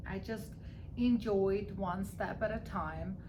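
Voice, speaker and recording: Through audible room echo and noticeable background noise, a woman speaks at a very slow pace. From Armenia. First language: Armenian. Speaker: real estate broker. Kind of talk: interview.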